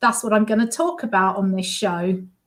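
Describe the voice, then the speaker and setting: A woman with an English accent. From London, England. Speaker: musician and healer. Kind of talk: interview.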